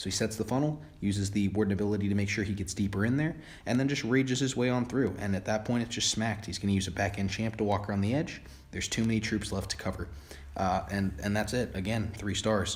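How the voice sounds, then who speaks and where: Somewhat breathy and fairly low in pitch, a man speaks with ordinary pitch variation. He goes at a very fast pace. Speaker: gaming video creator. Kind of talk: gameplay commentary. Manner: stumbling over words; enthusiastic.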